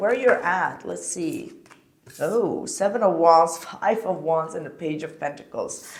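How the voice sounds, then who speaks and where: Audible room echo surrounds this recording. A woman speaks with a fairly low pitch. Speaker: tarot reader. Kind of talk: tarot reading.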